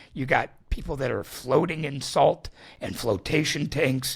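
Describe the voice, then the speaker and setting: This man has a medium pitch and a somewhat breathy voice. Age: 60s. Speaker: salt therapy business founder. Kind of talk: casual interview.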